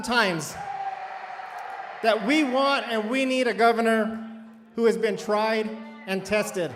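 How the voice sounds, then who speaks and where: Against noticeable background noise, a man with an extremely high pitch speaks with fairly even intonation. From New Mexico, Grant County. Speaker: politician. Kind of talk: campaign speech.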